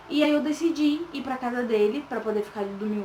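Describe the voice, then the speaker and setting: A soft-spoken woman talks at a moderate pace with fairly even intonation over noticeable background noise. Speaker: vlogger. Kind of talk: casual personal story vlog. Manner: soft-spoken, talking quietly.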